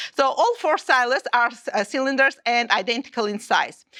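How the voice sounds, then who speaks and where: A woman speaks with an Armenian accent. Her pitch is high. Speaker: maths teacher. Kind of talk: teacher training session. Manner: halting.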